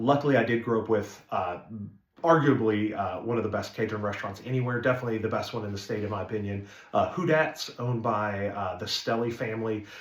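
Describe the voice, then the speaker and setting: A very fast, somewhat breathy man's voice at medium pitch, with an American accent, ordinary pitch variation and audible room echo. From northeast Arkansas, small town. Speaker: restaurant owner. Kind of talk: casual introductory video talk. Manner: casual, many filler words.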